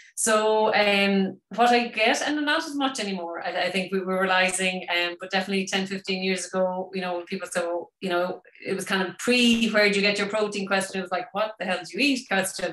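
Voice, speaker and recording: A woman with an Irish accent talks at a medium pitch and a fairly quick pace. She hardly pauses, and noticeable background noise is present. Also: ordinary pitch variation. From Ireland. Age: 50s. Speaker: vegan wellness expert. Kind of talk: webinar talk. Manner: fast.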